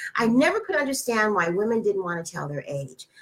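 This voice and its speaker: A fairly high-pitched woman's voice with vocal fry, very wide pitch swings and a fairly quick pace. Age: 60s. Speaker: wellness talk show co-host. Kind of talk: online panel discussion.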